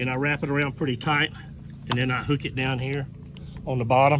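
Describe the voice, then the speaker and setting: A man with a fairly high voice is heard over noticeable background noise. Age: 60s. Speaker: kayak angler and DIY product maker. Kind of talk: tutorial. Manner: hesitant, many fillers; casual, folksy.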